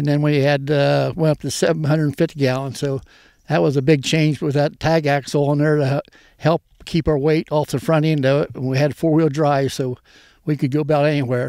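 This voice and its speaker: In an American accent, this voice has a dark, mellow tone, a fairly quick pace and fairly even intonation, recorded very cleanly against a silent background. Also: man, fairly high pitch for a man. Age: 80s+. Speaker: farmer. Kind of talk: casual interview. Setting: outdoors. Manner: halting.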